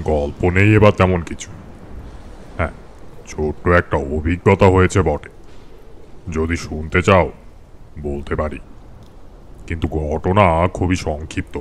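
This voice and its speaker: A put-on character voice at a fairly slow pace, fairly even in intonation, with clear background noise. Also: man, very deep, low pitch for a man. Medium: audio drama. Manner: measured, unhurried.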